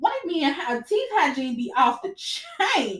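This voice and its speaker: At a moderate pace, a woman speaks loudly in a high voice, animated in tone and lively in intonation. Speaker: podcast host. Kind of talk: casual chat. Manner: loud, direct.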